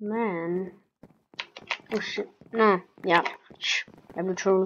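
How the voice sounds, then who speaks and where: A woman at a medium pitch, very slow and monotone, with flat intonation. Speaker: gaming youtuber. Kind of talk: gameplay commentary. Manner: hesitant, many fillers.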